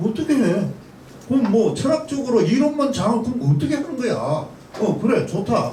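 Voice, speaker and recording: A man talks at a moderate pace, his pitch swinging very widely, with audible room echo and noticeable background noise. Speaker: pastor and panel commentator. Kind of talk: forum commentary. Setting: panel forum.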